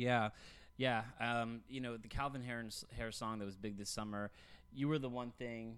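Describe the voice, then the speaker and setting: With an American accent, a man speaks at a medium pitch. His pace is moderate and his intonation monotone and flat. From Texas. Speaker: podcast co-host. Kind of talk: casual chat.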